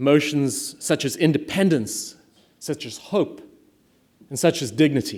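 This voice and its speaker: With a South African accent, a man speaks at a fairly slow pace with a fairly high pitch and lively intonation. Long, frequent pauses and big swings in loudness run through his speech. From South Africa, small mining town. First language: Afrikaans. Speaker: private equity attorney and impact investor. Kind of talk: speech to an audience.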